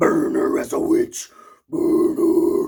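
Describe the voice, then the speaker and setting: In a put-on character voice, a man growls at an extremely high pitch. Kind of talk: death metal vocal style. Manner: death metal growl.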